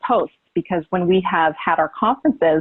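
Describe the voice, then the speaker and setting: A woman with an American accent speaks at a moderate pace and medium pitch. She has a plain, everyday voice. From California. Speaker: conference presenter on social media. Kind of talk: conference presentation.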